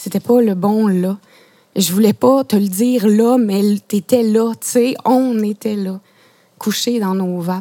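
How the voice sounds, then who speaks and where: In a very clean recording with a silent background and a dry, close sound with no echo, a woman at medium pitch speaks at a very slow pace with fairly even intonation and a dark, mellow tone. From Quebec (Saguenay, PEI, Outaouais). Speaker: playwright and poet. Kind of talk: poetry reading. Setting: mobile radio studio truck at outdoor exhibition.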